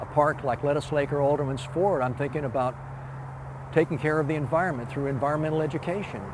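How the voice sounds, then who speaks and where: Amid noticeable background noise and audible room echo, a man speaks at a fairly quick pace and medium pitch. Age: 70s. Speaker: retired park designer. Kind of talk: interview. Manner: halting, many fillers and repeats.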